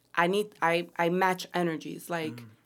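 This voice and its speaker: The recording is very clean, with a silent background. A woman talks in a normal speaking voice, fairly low in pitch, with ordinary pitch variation. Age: 30s. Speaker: podcast co-host. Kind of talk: casual chat.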